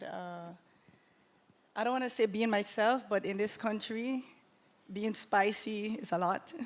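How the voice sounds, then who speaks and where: A woman's medium-pitched voice with a Caribbean accent and long, frequent pauses, on a very clean recording with a silent background. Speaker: panelist, creative entrepreneur. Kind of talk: live panel discussion. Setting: stage with live audience.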